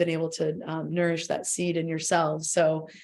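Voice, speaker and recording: A woman speaks with audible echo from the room. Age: 30s. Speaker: permaculture designer and educator. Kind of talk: talk at a church service. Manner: hesitant, many fillers.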